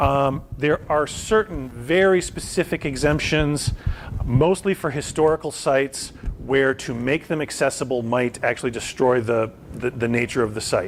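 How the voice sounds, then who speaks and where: A man speaks with a fairly high pitch and ordinary pitch variation. Noticeable background noise runs under his voice. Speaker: vocational rehabilitation counselor. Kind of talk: lecture. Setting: presentation to an audience. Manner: fast.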